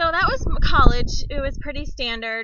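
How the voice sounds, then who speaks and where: A woman speaks with an Upper Midwest accent and ordinary pitch variation. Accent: Upper Midwest (northern). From central Wisconsin, US Upper Midwest. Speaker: vlogger, stay-at-home mom. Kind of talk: casual personal vlog.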